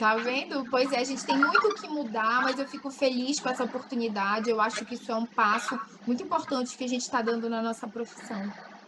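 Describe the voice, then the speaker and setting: With hardly any pauses and over noticeable background noise, a woman talks at a fairly quick pace, her high pitch showing ordinary pitch variation. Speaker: physiotherapy lecturer. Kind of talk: webinar Q&A.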